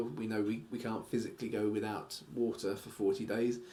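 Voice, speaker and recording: A man's voice carries with audible room echo. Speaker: Bible teacher. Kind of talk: bible study lecture. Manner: halting, many fillers.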